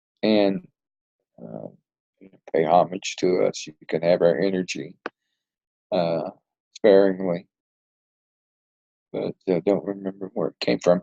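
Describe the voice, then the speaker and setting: A man with a Southern US accent speaks at a fairly slow pace with a very deep, low pitch and ordinary pitch variation. His loudness swings widely, and he takes long, frequent pauses. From US South, Arkansas hills. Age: 60s. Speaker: retired police detective. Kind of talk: interview. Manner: halting.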